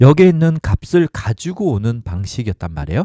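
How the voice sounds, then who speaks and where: A man with a dark, mellow tone and a medium pitch speaks at a moderate pace with very wide pitch swings, on a very clean recording with a silent background and a dry, close sound with no echo. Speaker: blogging side-income tutorial creator. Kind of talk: screen-share tutorial. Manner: hesitant with fillers.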